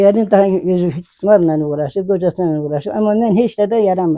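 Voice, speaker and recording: A woman speaks fairly quickly at a medium pitch. Her tone is dark and mellow, with ordinary pitch variation. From Kars, eastern Turkey (village). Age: 80s+. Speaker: village mother of 21 children. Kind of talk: interview answer.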